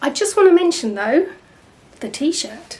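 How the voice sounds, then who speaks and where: A woman with an English accent speaks over noticeable background noise. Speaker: artist and channel host. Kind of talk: casual vlog chat.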